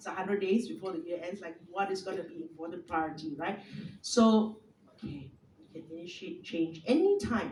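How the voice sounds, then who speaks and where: Somewhat breathy and at a medium pitch, a woman speaks with lively intonation and big swings in loudness over audible room echo. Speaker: speaker, former radio professional. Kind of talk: talk to an audience. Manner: fast.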